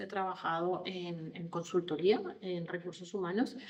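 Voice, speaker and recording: A woman speaks at medium pitch. Her pace is fairly slow. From Colombia. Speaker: HR consultant on generational diversity. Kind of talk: podcast interview.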